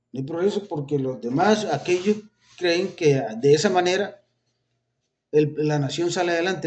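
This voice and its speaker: A man's fairly high voice shows ordinary pitch variation. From Colombia. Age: 60s. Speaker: religious video preacher. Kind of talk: informal religious talk with political commentary.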